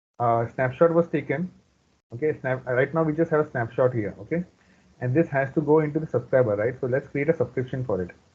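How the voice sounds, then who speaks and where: Very fast and somewhat breathy, a man talks at a medium pitch with ordinary pitch variation. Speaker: database trainer. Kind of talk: live training tutorial.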